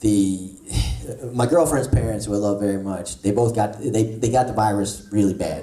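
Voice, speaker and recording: A man with a New Jersey accent speaks at a moderate pace, fairly low in pitch with ordinary pitch variation. Noticeable background noise and audible room echo fill the recording. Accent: New Jersey American. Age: 40s. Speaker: comedian. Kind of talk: stand-up. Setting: stage with audience.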